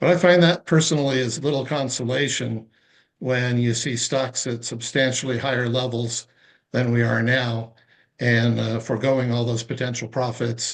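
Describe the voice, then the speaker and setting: A man's medium-pitched voice, a normal speaking voice, at a moderate pace with fairly even intonation. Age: 60s. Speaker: retired trader. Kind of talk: casual chat.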